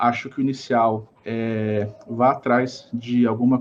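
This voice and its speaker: A man at a medium pitch. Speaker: innovation consultant. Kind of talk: podcast interview.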